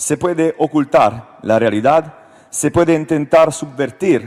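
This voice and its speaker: A man with an Italian accent, fairly high-pitched, at a very slow pace, with ordinary pitch variation over noticeable background noise. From Italy. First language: Italian (speaking Spanish). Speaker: politician. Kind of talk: panel discussion speech, partly read. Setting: stage with audience. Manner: halting.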